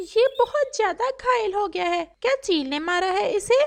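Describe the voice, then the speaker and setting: In a squeaky, cartoonish character voice, a woman speaks at a moderate pace with an extremely high pitch. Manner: serious, urgent.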